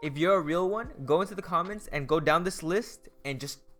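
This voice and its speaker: Music plays behind the speaker. A man talks at a moderate pace. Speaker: MMA YouTuber. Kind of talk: casual chat.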